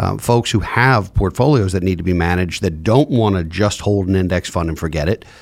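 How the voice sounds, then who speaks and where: An ordinary speaking voice from a man, with lively intonation at a moderate pace. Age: 40s. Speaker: podcast host, financial advisor. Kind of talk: interview.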